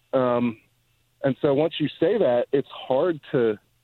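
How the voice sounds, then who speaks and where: This man has a normal speaking voice at a medium pitch with ordinary pitch variation. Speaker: gun policy journalist. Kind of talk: interview. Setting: phone call.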